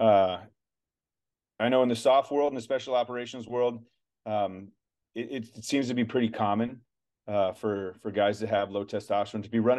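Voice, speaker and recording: A man talks at a fairly quick pace in a medium pitch with fairly even intonation. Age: 40s. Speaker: retired special forces soldier and supplement company founder. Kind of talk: casual interview chat.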